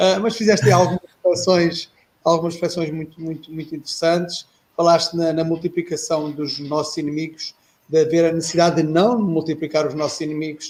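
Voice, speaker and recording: Speaking with a European Portuguese accent, a man uses a high pitch, fairly even intonation and a fairly quick pace. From Portugal. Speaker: retired air force officer, panelist. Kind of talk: casual discussion. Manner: halting.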